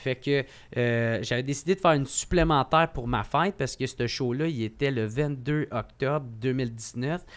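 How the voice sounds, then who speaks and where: Fairly slow male speech, pitch varying in an ordinary way. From Quebec, Gatineau; Quebec. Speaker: comedian. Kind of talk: casual chat. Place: studio. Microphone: studio mic.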